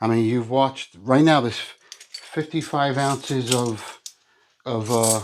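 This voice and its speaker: Man at a fairly slow pace, ordinary pitch variation, an ordinary speaking voice. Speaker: coin collecting youtuber. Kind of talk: casual vlog talk to viewers.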